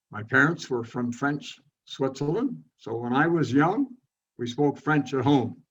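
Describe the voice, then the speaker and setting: A man with a Montreal accent speaks slowly, at a fairly slow pace, in a fairly high pitch. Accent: Anglophone Montreal English. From Montreal, Quebec. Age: 80s+. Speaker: retired landscape designer. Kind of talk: interview, life story. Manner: halting, with fillers.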